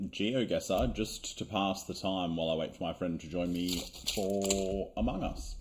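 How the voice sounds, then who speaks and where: A man speaks with an Australian accent at a fairly low pitch. His pitch varies in an ordinary way. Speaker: gaming youtuber. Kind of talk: gameplay commentary. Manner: casual, animated.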